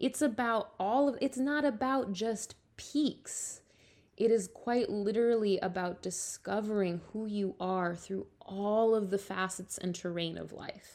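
A woman speaks slowly-ish, at a fairly slow pace and medium pitch, with ordinary pitch variation. Hers is a plain, everyday voice, on a very clean recording with a silent background. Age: 30s. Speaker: podcast host and ballet teacher. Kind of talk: solo podcast monologue. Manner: casual, filler-heavy.

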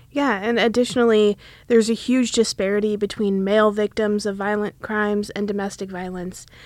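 Here is a woman with an American accent and an unremarkable speaking voice, medium in pitch, at a moderate pace. The recording is very clean, with a silent background. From Wisconsin, US. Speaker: law student podcast host. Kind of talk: podcast introduction.

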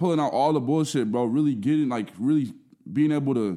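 Dark and mellow in tone, a man with an American accent talks at a fairly quick pace and medium pitch with ordinary pitch variation, in a very clean recording with a silent background. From Minnesota, Burnsville suburbs of Minneapolis. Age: 20s. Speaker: content creator and rapper. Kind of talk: casual chat.

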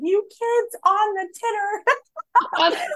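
Squeaky and extremely high in pitch, a woman's put-on character voice comes through. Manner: mocking, confused about technology.

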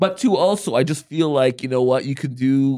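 A man talks at a fairly quick pace with ordinary pitch variation. His voice has a medium pitch and a dark, mellow tone. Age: 40s. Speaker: podcast co-host. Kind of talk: casual chat. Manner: direct.

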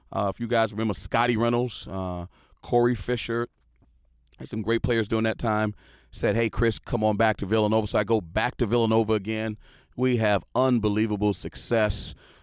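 A man with an American accent speaks at a fairly quick pace and a medium pitch. The recording is very clean, with a silent background. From Houston, Texas. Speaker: sports analyst, former college basketball player and coach. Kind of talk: casual monologue podcast. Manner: animated, conversational with fillers.

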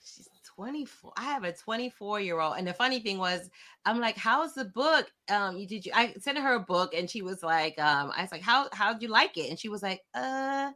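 A woman's fairly high, bright, sharp voice, animated in tone, with very wide pitch swings and big swings in loudness at a moderate pace, on a very clean recording with a silent background. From South Florida (born in London, Jamaican parents). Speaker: author and social justice advocate. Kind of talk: interview conversation.

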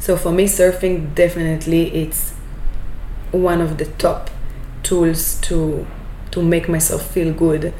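Very slow and monotone with flat intonation, the voice carries an Israeli accent amid noticeable background noise and audible room echo. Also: woman. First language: Hebrew. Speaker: business owner. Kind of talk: interview.

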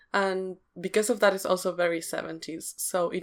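Recorded very cleanly against a silent background, a woman with a non-native accent speaks at a moderate pace in a fairly low pitch with monotone, flat intonation. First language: not English. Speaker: podcast co-host. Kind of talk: casual discussion.

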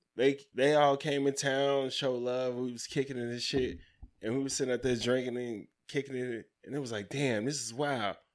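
In a very clean recording with a silent background, a man speaks at medium pitch and a moderate pace in an animated tone. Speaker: podcast co-host. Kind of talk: casual banter podcast chat. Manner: animated, profane, joking.

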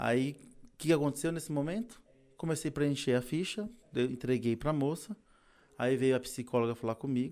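In a very clean recording with a silent background, a man with a fairly high pitch and lively intonation speaks at a moderate pace, with long, frequent pauses. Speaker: technical instructor and competition trainer. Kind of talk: casual interview. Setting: studio.

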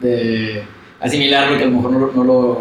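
With noticeable background noise and audible room echo, a man speaks fairly quickly in a medium pitch with monotone, flat intonation. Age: 30s. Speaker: musician and lawyer. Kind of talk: casual interview chat. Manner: halting, many fillers and repetitions.

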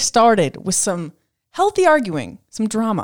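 In a very clean recording with a silent background, a woman at a medium pitch speaks loudly and at a fairly slow pace, with very wide pitch swings. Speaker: podcast co-host. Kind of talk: casual chat.

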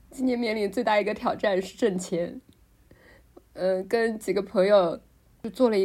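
A woman with a medium pitch has a dark, mellow tone. She keeps a moderate pace with fairly even intonation. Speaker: podcast co-host. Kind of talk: casual chat. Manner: many filler sounds, hesitant.

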